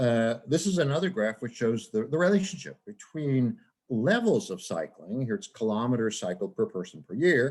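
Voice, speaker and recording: A man speaks at medium pitch and a moderate pace. His pitch swings very widely. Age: 70s. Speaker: professor. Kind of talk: lecture.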